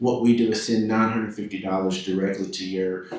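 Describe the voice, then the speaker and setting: A man with a Southern accent speaks fairly quickly at a fairly low pitch with fairly even intonation. Room echo and background noise are both noticeable. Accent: Southern, less twang than Louisiana. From Tennessee, Chattanooga. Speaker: insurance program sales representative. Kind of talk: public presentation to city council. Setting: council chamber. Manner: hesitant, many fillers and repetitions.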